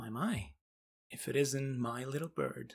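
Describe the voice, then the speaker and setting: A raspy, put-on character voice from a man, medium in pitch with ordinary pitch variation, at a fairly slow pace. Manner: teasing, sly.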